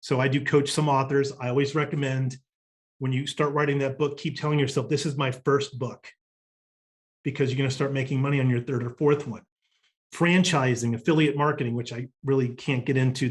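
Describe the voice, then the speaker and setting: A man speaks very fast in a monotone, flat intonation. His voice is somewhat breathy. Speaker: business coach. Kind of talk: recorded workshop presentation.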